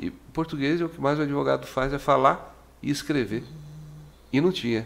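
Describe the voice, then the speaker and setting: A man at a moderate pace and medium pitch, with vocal fry. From Corumbá, Mato Grosso do Sul, Brazil. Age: 60s. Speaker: radio host. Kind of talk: radio interview.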